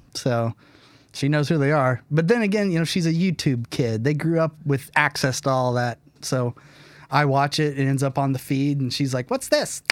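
In a very clean, dry and close recording with no echo and a silent background, a man with an ordinary speaking voice talks at a moderate pace, with a fairly high pitch, ordinary pitch variation and very even loudness. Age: 30s. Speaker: former band drummer. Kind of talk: casual chat.

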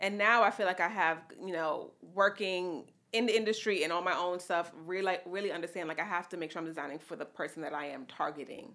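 A woman talks very fast in a New York accent at a fairly low pitch. Her tone is bright and sharp. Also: ordinary pitch variation. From New York, the Bronx. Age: 30s. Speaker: fashion designer. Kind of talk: casual chat.

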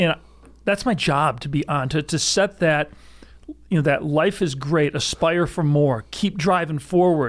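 An ordinary speaking voice at a fairly slow pace, with ordinary pitch variation and very even loudness, in a very clean recording with a silent background. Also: man, fairly high pitch for a man. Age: 60s. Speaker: gun storage company founder. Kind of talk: casual chat. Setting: studio.

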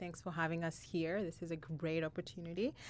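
Recorded very cleanly against a silent background, a woman with a non-native accent speaks at a very deep, low pitch. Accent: foreign-accented English. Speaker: university student services director. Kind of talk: casual chat.

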